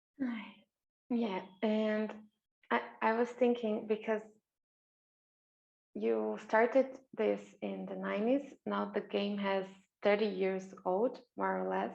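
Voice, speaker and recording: A woman with a non-native accent speaks at a very slow pace. Her speech has long, frequent pauses. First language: not English. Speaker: interviewer and game facilitator. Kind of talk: interview. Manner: halting.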